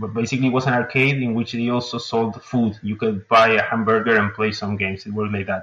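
A man with a Spanish accent talks at a very fast pace with hardly any pauses, in a medium pitch and monotone, flat intonation, over noticeable background noise. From Uruguay. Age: 20s. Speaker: indie game developer. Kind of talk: interview. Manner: hesitant, many fillers.

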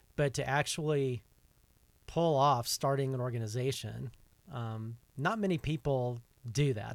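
With an American accent, a man talks in an ordinary speaking voice at a medium pitch and fairly even intonation, captured in a very clean recording with a silent background. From US South. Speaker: podcast host. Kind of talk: casual interview. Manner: frequent fillers, uh and um.

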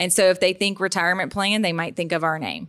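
A woman's bright, sharp tone in a very clean recording with a silent background. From Louisiana (Baton Rouge). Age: 30s. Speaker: accountant and podcast host. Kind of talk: casual chat.

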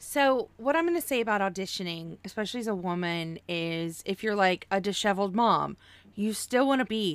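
A woman with a plain, everyday voice and an American accent speaks at medium pitch and a moderate pace. Her intonation is lively, and the recording is very clean with a silent background. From Oklahoma. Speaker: podcast host. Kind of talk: casual chat.

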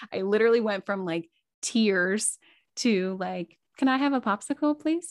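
A woman talks at a moderate pace with lively intonation and a fairly high pitch, in a plain, everyday voice. The sound is dry and close with no echo, over a quiet background. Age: 30s. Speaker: podcaster and new mother. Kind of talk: casual interview.

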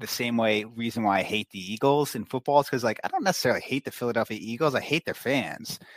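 This man has a normal speaking voice with ordinary pitch variation. The recording is very clean, with a silent background. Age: 30s. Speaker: hockey analyst. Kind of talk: casual chat.

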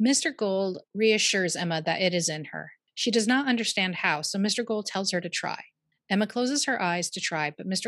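The clip is plain reading aloud, and the background is quiet.

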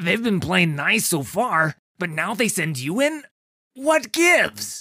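In a put-on character voice, a man uses a raised, projected voice at a high pitch with very wide pitch swings and a whiny, nervous tone. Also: fairly slow pace. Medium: read story.

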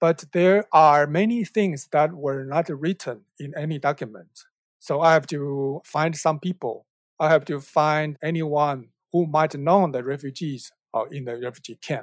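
On a very clean recording with a silent background and a dry, close sound with no echo, a man with a Taiwanese accent speaks at a fairly high pitch with ordinary pitch variation. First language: Mandarin or Taiwanese. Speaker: documentary film director. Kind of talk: interview. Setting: podcast recording. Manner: careful, hesitant non-native English.

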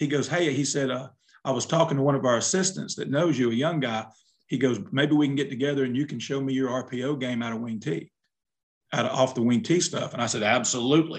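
With an Alabama accent, a man talks at a fairly quick pace, his pitch fairly high and its variation ordinary. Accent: US Southern (Alabama). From southern Alabama. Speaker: retired high school football coach. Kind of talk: casual chat.

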